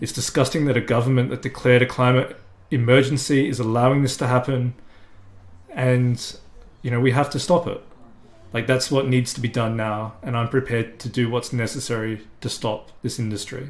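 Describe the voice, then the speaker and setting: Audible room echo surrounds a man who speaks at a fairly quick pace with monotone, flat intonation. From South Australia. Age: 30s. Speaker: climate activist. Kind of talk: interview monologue. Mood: earnest, firm conviction. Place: home room.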